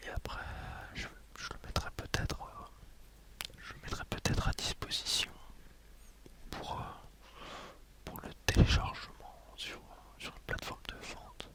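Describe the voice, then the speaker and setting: Whispering very slowly over noticeable background noise, a man leaves long, frequent pauses while his loudness swings widely. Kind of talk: ASMR ramble. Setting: headset microphone. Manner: whispered.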